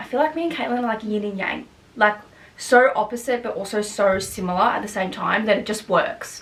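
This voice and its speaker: Speaking with an Australian accent, a woman talks at a fairly quick pace and fairly high pitch with ordinary pitch variation over noticeable background noise. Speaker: YouTuber. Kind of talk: casual Q&A vlog. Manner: loud, outgoing; fast, chatty with fillers.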